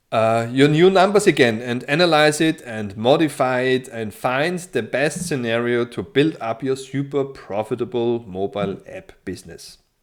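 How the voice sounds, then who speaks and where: At a moderate pace and with hardly any pauses, a man speaks with a non-native accent, a medium pitch and lively intonation. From Austria. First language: German. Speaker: financial modeling tutor. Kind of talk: tutorial. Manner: hesitant, many fillers.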